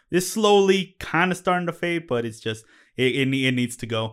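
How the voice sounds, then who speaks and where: A man talks in a normal speaking voice at a fairly quick pace, his intonation lively. The recording is very clean, with a silent background. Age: 30s. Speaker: podcast producer and co-host. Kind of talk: casual chat.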